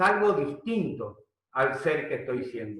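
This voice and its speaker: A man's voice with audible room echo. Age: 60s. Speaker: leadership coach. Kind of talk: webinar lecture. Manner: hesitant, many fillers.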